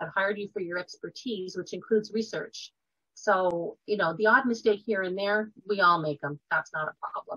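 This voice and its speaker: A woman with a Canadian accent speaks at a moderate pace and medium pitch, with ordinary pitch variation. She has a plain, everyday voice against a quiet background. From Quebec, Canada. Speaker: nurse and health writer; interview guest. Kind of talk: interview. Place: home room. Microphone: webcam.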